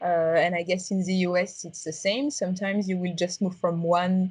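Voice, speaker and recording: A strong French accent at a moderate pace. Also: woman. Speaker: tech startup founder. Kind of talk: interview. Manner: halting, many fillers.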